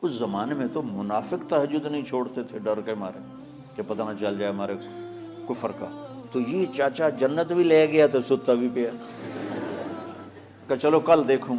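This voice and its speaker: A man's medium-pitched voice with lively intonation, and music in the background. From Pakistan. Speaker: Islamic scholar and preacher. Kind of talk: religious sermon (bayan) telling a story to an audience.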